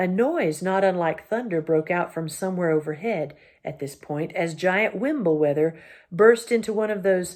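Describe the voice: Simply plain reading aloud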